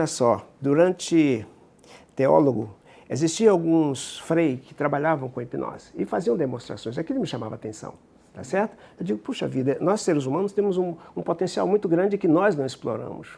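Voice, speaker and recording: A man speaks with fairly high pitch and lively intonation. Vocal fry shows in his voice. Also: moderate pace. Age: 70s. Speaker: psychologist and regression therapist. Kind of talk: interview.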